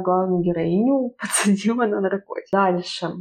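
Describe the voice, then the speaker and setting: Medium-pitched female delivery in a normal speaking voice, its pitch rising and falling in an ordinary way. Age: 20s. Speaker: writer and photographer. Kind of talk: casual chat.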